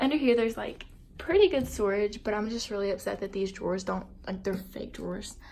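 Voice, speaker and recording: A woman talks at a fairly quick pace with a medium pitch and ordinary pitch variation. Her tone is dark and mellow, with vocal fry. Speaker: vlogger. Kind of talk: casual vlog.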